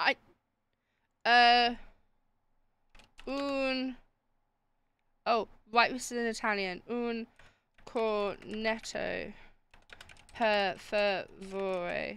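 Her tone is bright and sharp. This woman's pitch sits fairly high. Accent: British. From Britain. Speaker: streamer. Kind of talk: live game stream chat. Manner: animated.

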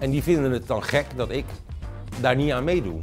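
A man talks at a moderate pace with faint music playing in the background. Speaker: voice actor. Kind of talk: interview answer. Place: studio.

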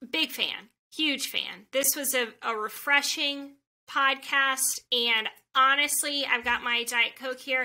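A woman speaks very slowly in a raised, projected voice, her high pitch held in a monotone, flat line and her tone bright and sharp. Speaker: podcast host. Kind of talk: interview. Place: home room.

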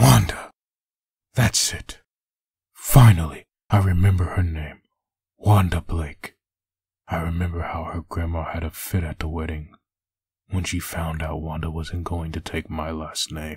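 A man speaks at a moderate pace with a very deep, low pitch and fairly even intonation. He leaves long, frequent pauses, and his loudness swings widely. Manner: menacing, threatening; brooding, bitter inner monologue.

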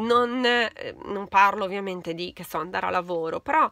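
A woman's bright, sharp voice at a moderate pace, dry with no echo, against a quiet background. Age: 40s. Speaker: beauty YouTuber. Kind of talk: casual chat. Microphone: phone near.

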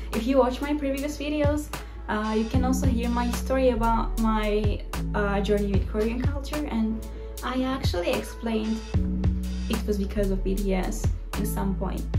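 At a moderate pace, a woman talks while clear music sounds in the background. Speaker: culture vlogger. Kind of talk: casual vlog chat. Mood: friendly, upbeat. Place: home room. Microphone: phone near.

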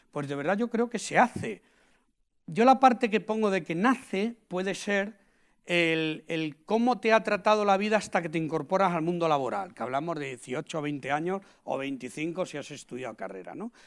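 Over a quiet background, a man with a high pitch speaks at a moderate pace, using lively intonation and big swings in loudness. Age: 50s. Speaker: invited sales expert. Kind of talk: talk interview before an audience. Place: hall. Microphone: lapel.

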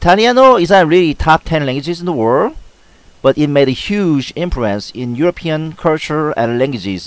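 A man with a Korean accent talks at a moderate pace and a fairly high pitch, his voice making very wide pitch swings. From South Korea. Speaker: language tutor video creator. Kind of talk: tutorial. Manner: formal, instructional, repeating phrases.

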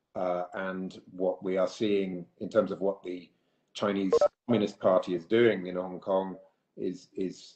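Through audible room echo, a man with a very deep, low pitch and a dark, mellow tone speaks fairly slowly in a monotone, flat intonation. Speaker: politician panelist. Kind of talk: prepared remarks in a webinar. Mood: serious, concerned. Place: home room. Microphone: video call.

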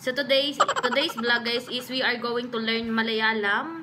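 With music in the background, a woman speaks fairly slowly at a fairly high pitch. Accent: Filipino. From Philippines. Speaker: vlogger. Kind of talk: casual talk to camera. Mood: playful, amused. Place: home room. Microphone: studio mic.

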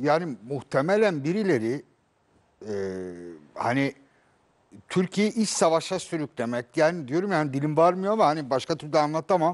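Lively intonation marks this man's fairly high voice. He keeps a moderate pace, broken by long, frequent pauses. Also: quiet background. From Turkey. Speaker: journalist. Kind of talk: panel discussion. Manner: halting. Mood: earnest, indignant. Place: studio.

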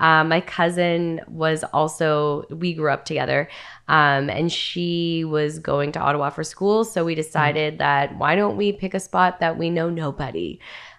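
A woman with a very deep, low pitch and a Canadian accent talks with hardly any pauses and fairly even intonation over a quiet background. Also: moderate pace. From Northern Ontario, Canada; Ontario, Canada. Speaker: Muay Thai fighter and radio host; radio host. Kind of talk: casual interview chat. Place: studio. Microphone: studio mic.

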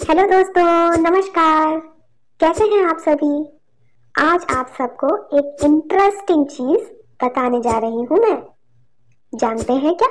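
In a cartoonish character voice, a woman speaks at a fairly slow pace with an extremely high pitch and long, frequent pauses. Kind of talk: classroom explainer, cheerful educational cartoon. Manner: warm, encouraging, playful.

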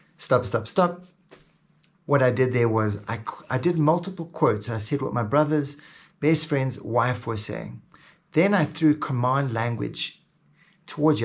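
Vocal fry with ordinary pitch variation. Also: man. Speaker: hypnosis teacher. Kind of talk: tutorial; hypnotic induction demo, slow soothing delivery. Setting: video. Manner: instructional, enthusiastic. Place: home room.

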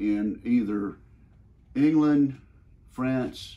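A very slow man with a Southern US accent and a dark, mellow tone. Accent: Southern American. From Mississippi, USA. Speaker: U.S. senator. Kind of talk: interview questions. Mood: warm, respectful. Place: office.

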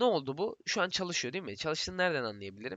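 A man talks with very wide pitch swings. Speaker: software tutorial creator. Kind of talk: programming tutorial. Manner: strained, effortful speech.

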